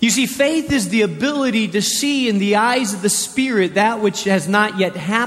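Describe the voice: Ordinary pitch variation in plain reading aloud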